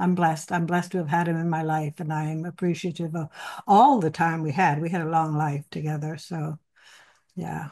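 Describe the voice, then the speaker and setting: Over a quiet background, a woman talks at a fairly quick pace in a very deep, low pitch, with a dark, mellow tone and fairly even intonation. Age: 80s+. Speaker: actress and co-author, widow of a film star. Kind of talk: interview. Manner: halting.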